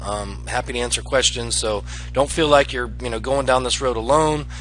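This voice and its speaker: With music playing in the background, a man talks at a fairly quick pace. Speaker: online marketing affiliate. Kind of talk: screen-share tutorial. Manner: fast; hesitant, many fillers.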